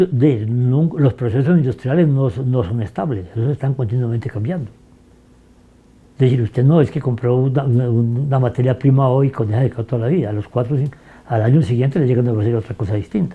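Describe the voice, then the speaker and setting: A somewhat breathy man's voice with a dark, mellow tone, medium pitch, ordinary pitch variation and a moderate pace. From Fresno, northern Tolima, Colombia. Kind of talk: interview answer.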